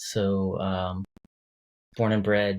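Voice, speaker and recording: A man with an American accent in a very clean recording with a silent background. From US South, rural southeastern North Carolina. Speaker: podcast guest. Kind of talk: casual chat. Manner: many fillers like um.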